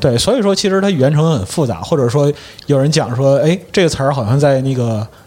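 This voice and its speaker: A man talks at a very fast pace with lively intonation and a fairly high pitch. Noticeable background noise sits behind him. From Liaoning, northeast China. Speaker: guest panelist. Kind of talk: casual chat.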